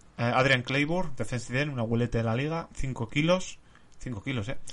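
In a Castilian accent, a man speaks at a moderate pace with ordinary pitch variation. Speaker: podcast host. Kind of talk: reading aloud; casual chat.

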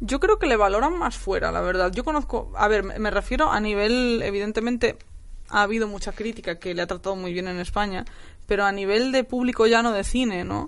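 With ordinary pitch variation, a plain, everyday voice moves along at a fairly quick pace. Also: woman, fairly high pitch for a woman. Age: 20s. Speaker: novelist. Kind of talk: casual chat.

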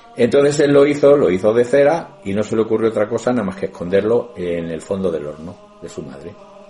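Amid noticeable background noise, a man with a fairly low pitch talks at a fairly quick pace, with very wide pitch swings and big swings in loudness. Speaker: radio co-host. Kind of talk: casual chat.

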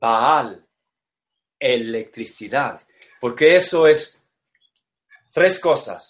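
A man with an English accent talks at a very slow pace with long, frequent pauses. His voice is fairly high, and his intonation is lively. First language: English (speaking Spanish). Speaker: esoteric lecturer. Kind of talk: lecture. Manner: halting.

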